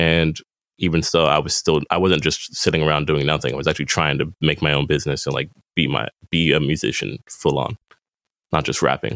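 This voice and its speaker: This man has an American accent and a very deep, low pitch with vocal fry, speaking at a fairly quick pace. His intonation stays fairly even, and the sound is dry and close with no echo. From Boston, Massachusetts (Hyde Park). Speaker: musician and barista. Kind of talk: casual interview chat. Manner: laid-back.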